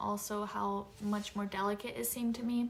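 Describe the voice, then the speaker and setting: A woman talks at a moderate pace while noticeable noise carries on in the background. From Japan. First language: Japanese. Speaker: lifestyle vlogger. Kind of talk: casual chat.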